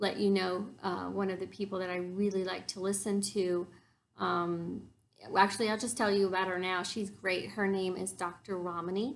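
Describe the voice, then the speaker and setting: In a room with audible echo, a woman speaks at a moderate pace and medium pitch, her intonation monotone and flat. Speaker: YouTuber discussing narcissism. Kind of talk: informal talk to camera. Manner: many filler words (um, uh).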